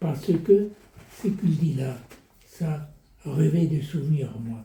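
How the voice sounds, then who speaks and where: There is audible room echo around a man whose fairly high voice has a dark, mellow tone, moving at a very slow pace with ordinary pitch variation. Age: 80s+. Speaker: Holocaust survivor. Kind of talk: casual conversation. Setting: at home. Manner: halting.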